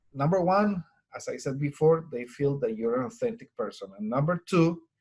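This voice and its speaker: A man with a strong Colombian accent speaks in a somewhat breathy voice. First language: Spanish. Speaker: Spanish teacher. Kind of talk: webinar presentation. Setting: online webinar recording.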